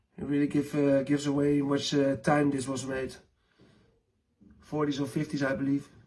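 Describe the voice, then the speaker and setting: A man with a non-native accent talks at a moderate pace in a fairly high voice. His speech has long, frequent pauses. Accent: non-native English speaker. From Netherlands. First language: Dutch. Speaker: lighter collector and maker. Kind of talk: collection show-and-tell. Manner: halting, many fillers.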